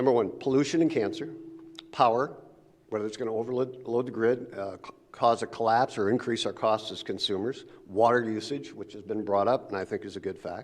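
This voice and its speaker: A medium-pitched man at a fairly quick pace, with fairly even intonation and big swings in loudness. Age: 60s. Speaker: public commenter at city council. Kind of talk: public comment. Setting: city council meeting. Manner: halting.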